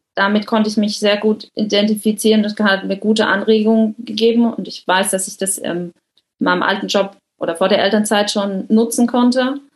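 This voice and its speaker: This woman has a fairly high, somewhat breathy voice. Her intonation stays fairly even. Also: moderate pace. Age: 30s. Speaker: coaching client, project manager. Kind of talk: interview.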